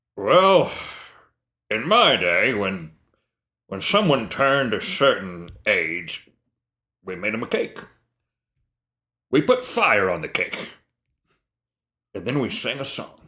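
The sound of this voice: Using a gruff, put-on character voice at a medium pitch, a man speaks at a fairly slow pace with very wide pitch swings and long, frequent pauses.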